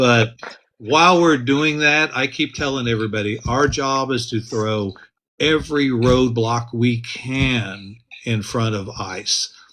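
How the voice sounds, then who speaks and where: Over a quiet background, a man with an American accent speaks very slowly at a medium pitch, his tone bright and sharp and his pitch variation ordinary. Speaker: county commissioner candidate and activist. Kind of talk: interview. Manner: loud.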